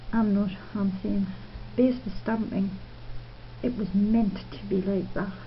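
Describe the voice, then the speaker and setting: A woman with an English accent, medium-pitched and monotone, at a fairly slow pace with long, frequent pauses and audible room echo. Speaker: nail art youtuber. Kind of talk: tutorial. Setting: at home. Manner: casual, chatty.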